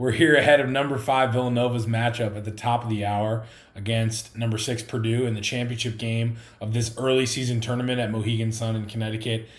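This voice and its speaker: The delivery is fairly quick and somewhat breathy, with monotone, flat intonation. Audible room echo surrounds the voice. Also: man, medium pitch for a man. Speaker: sports podcast host. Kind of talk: sports pregame show. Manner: fast.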